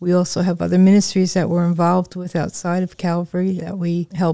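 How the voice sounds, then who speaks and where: The voice carries an American accent and a dark, mellow tone, with monotone, flat intonation at a moderate pace. The recording is very clean, with a silent background. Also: woman, dry, close sound with no echo. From northern New Jersey, near New York City. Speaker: church ministry assistant. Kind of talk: interview testimony.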